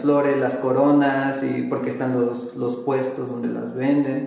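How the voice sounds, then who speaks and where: A man talks at a medium pitch. There is audible room echo and noticeable background noise. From Durango, Mexico. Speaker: painter. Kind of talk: casual interview. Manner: hesitant, many fillers.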